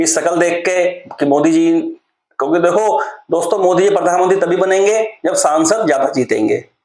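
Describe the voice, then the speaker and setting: A man talks at a high pitch with fairly even intonation. Audible room echo surrounds his voice. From Uttarakhand, India (Rudrapur). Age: 30s. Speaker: political commentary vlogger. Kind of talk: monologue vlog commentary. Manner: casual, hesitant with fillers.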